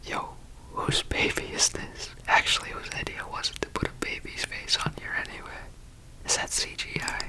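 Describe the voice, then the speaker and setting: Someone whispers at a moderate pace amid noticeable background noise. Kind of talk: ASMR travel vlog narration. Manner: whispered.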